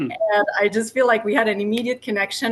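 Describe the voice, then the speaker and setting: A woman with a non-native accent speaks at a moderate pace in a fairly high voice with ordinary pitch variation, music playing behind her. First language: not English. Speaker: podcast co-host. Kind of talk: casual podcast conversation.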